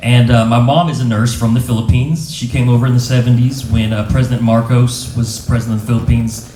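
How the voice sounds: A man's dark, mellow voice at a fairly quick pace, fairly even in intonation, with audible room echo. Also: medium pitch for a man.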